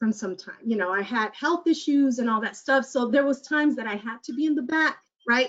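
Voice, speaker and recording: With a Spanish accent, a woman speaks in a high voice with lively intonation. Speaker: community health worker and mentor. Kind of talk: panel discussion, personal testimony. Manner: halting, many fillers and restarts.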